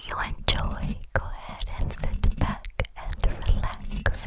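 A woman speaks at a very slow pace. Loud background noise surrounds her. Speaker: ASMR creator. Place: home room. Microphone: studio mic.

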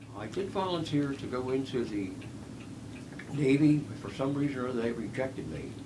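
A man with an American accent talks at a moderate pace in a medium pitch, his intonation lively. Long, frequent pauses break up his speech, and there is noticeable background noise. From US Northeast, West Philadelphia; Pennsylvania. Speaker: war veteran. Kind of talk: oral history interview. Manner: halting. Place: home room.

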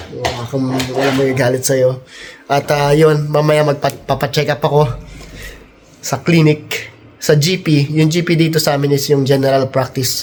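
Noticeable background noise surrounds a man with a fairly high pitch. His monotone, flat intonation holds at a moderate pace. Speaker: travel vlogger. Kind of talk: casual vlog chat. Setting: outdoors in snow.

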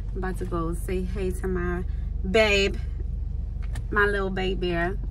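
A woman talks at a fairly slow pace. Loud background noise sits behind her. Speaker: vlogger. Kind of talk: casual vlog chat. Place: car. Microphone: phone near.

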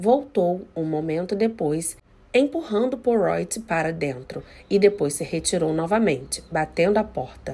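A woman speaks at a fairly slow pace. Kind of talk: audiobook reading of a novel, with a short channel intro. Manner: narrating in first person, voicing characters in dialogue.

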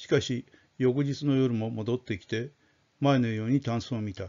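At a fairly slow pace, a man talks in an ordinary speaking voice at medium pitch with ordinary pitch variation. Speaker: audiobook-style storyteller reading aloud. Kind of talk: dramatic narration of a ghost story, read aloud. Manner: formal, polite, measured.

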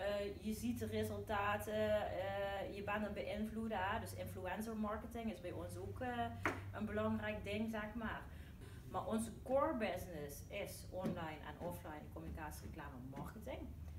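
Noticeable background noise sits behind the voice. The woman talks at a moderate pace. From Dutch Limburg. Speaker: branding agency owner. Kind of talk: casual chat. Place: meeting room. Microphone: camera far.

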